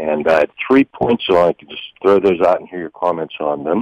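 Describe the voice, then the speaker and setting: The speaker talks at a moderate pace with a western Pennsylvania accent. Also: man. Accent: western Pennsylvania American. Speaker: caller, home garlic grower. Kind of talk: radio call-in question. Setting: phone call.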